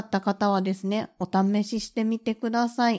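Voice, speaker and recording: Relaxed in tone, a woman at medium pitch speaks at a moderate pace on a very clean recording with a silent background. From Kansai, western Japan. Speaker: podcast host. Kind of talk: casual solo chat. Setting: recording at home. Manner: relaxed, laid-back.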